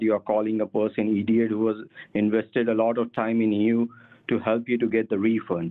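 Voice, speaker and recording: A man talks fairly quickly, with a quiet background behind him. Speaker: phone scammer posing as manager. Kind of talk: heated argument. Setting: phone call. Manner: irritated, scolding. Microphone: phone line.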